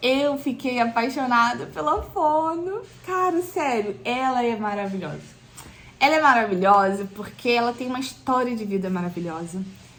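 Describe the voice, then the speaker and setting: Audible room echo surrounds a voice moving at a moderate pace with very wide pitch swings. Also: woman, high pitch for a woman. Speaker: pregnant vlogger. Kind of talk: casual vlog talk. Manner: hesitant, many fillers.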